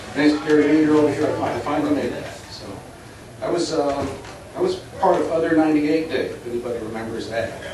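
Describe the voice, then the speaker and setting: Speaking very fast with a fairly high pitch and fairly even intonation, a man comes through with big swings in loudness, audible room echo and noticeable background noise. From Louisville, Kentucky. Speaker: former radio station staff. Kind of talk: reunion speech. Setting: restaurant event with audience.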